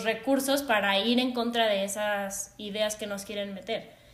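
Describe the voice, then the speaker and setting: There is audible room echo around a woman speaking. She has a fairly high pitch and a moderate pace. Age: 20s. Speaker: psychologist and former figure skater. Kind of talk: casual chat.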